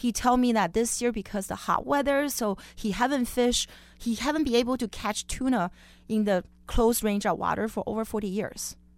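At a moderate pace, a woman with a Chinese accent speaks in a fairly high voice with ordinary pitch variation. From Beijing, China. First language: Mandarin Chinese. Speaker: chef. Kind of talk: interview. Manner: laughs often.

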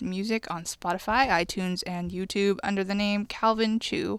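This woman has an ordinary speaking voice, fairly high in pitch, moving at a moderate pace in a very clean recording with a silent background. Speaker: radio host. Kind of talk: radio show hosting, announcements and interview. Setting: studio.

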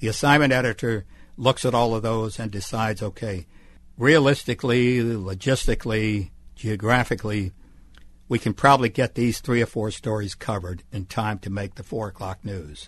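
A man with an American accent uses a normal speaking voice at a medium pitch, with ordinary pitch variation. His pace is moderate, and the background is quiet. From US South, Mississippi Gulf Coast. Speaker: retired TV journalist. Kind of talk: interview. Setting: radio studio.

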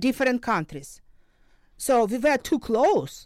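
A woman with a Ukrainian accent, her fairly high pitch swinging very widely, on a very clean recording with a silent background. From Ukraine, Luhansk region. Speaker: crisis psychologist and professor. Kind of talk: interview. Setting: studio. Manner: halting.

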